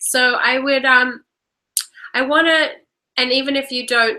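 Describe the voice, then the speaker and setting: A woman's high-pitched voice with a bright, sharp tone and ordinary pitch variation. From Australia. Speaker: workshop leader and coach. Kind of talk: live online workshop with guided reflection. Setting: live video stream. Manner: hesitant, many fillers.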